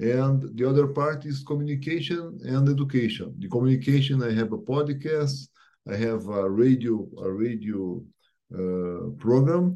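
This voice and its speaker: A man with a Portuguese accent speaks at a medium pitch. His tone is dark and mellow, and his pace is moderate. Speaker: real estate executive. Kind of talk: interview. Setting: remote call.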